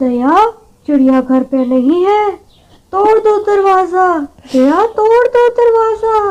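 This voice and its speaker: A woman in a cartoonish character voice, speaking at a fairly slow pace with an extremely high pitch. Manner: bossy, quarrelsome.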